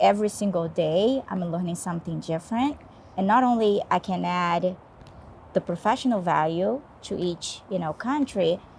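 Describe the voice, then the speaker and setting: A woman speaks with a Portuguese accent and lively intonation. Her voice is somewhat breathy. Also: medium pitch for a woman, moderate pace, very clean recording, silent background. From Brazil. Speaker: HR business partner. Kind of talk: podcast interview. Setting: rooftop in Stockholm.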